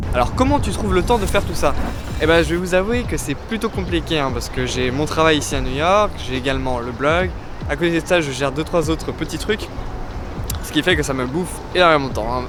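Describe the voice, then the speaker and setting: A fairly quick pace amid noticeable background noise and audible room echo. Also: man. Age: 20s. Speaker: travel blogger and photographer. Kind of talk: casual Q&A vlog. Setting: outdoors in a park. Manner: casual, with fillers.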